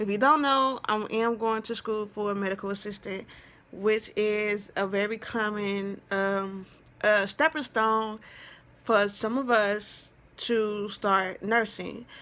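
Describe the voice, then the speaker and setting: Over a very clean recording with a silent background, a woman speaks at a very slow pace with fairly even intonation. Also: fairly high pitch for a woman. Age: 20s. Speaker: vlogger. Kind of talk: casual vlog talk.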